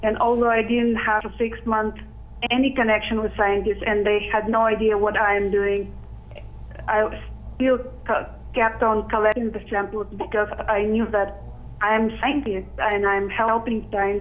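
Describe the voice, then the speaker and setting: There is noticeable background noise behind a woman's fairly high voice. She speaks in a monotone, flat intonation. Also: moderate pace. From Arctic Siberia, Russia. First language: Russian or Sakha language. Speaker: youth citizen scientist. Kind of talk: interview. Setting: video call.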